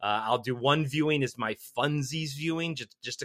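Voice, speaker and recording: With a dry, close sound and no echo, a man speaks at a moderate pace in a bright, sharp tone. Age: 40s. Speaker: podcast guest. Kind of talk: casual chat. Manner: animated.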